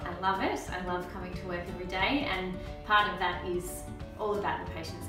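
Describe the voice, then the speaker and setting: Clear music plays behind a woman who talks at a fairly quick pace, with audible room echo. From Melbourne, Australia. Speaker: osteopath. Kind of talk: interview answer. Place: office. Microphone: camera far.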